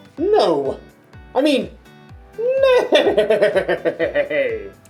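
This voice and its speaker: A put-on character voice at a high pitch plays over faint music in the background. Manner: silly, comedic.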